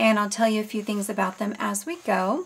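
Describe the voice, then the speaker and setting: A somewhat breathy woman's voice, fairly high in pitch, at a fairly quick pace. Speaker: crafter selling handmade journals. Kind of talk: product show-and-tell tutorial. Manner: casual with many fillers.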